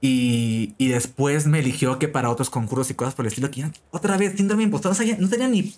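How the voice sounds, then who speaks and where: The speech races along at a very fast pace with very wide pitch swings. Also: man, fairly high pitch for a man. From Peru. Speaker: frontend developer and online educator. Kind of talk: interview. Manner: halting, many repeated words.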